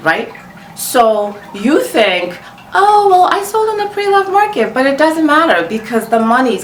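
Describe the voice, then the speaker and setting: A woman with a non-native accent speaks at a fairly slow pace in an animated tone with very wide pitch swings, amid noticeable background noise and audible room echo. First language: not English. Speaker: luxury fashion vlogger. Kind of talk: casual commentary to camera.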